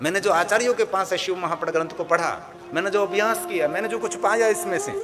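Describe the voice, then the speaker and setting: Music plays in the background as a man with a Gujarati accent speaks at a moderate pace. His pitch is high, with ordinary pitch variation. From Gujarat, India (Saurashtra). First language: Gujarati (speaking Hindi). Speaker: spiritual preacher, katha storyteller. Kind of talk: religious discourse (Shiv Purana katha).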